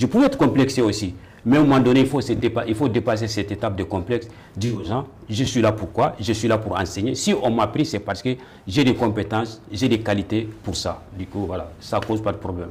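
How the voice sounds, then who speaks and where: This man talks at a fairly quick pace in a medium-pitched, somewhat breathy voice with ordinary pitch variation. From Mali. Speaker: teacher. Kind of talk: interview. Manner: halting.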